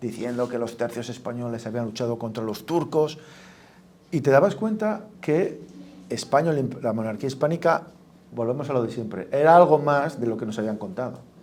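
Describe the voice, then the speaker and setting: A man's normal speaking voice at medium pitch and moderate pace. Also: ordinary pitch variation. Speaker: event host. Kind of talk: speaker introduction.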